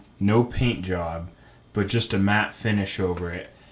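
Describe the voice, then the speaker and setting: At a fairly slow pace, a man speaks in a normal speaking voice with fairly low pitch and ordinary pitch variation. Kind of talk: tutorial. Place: home room.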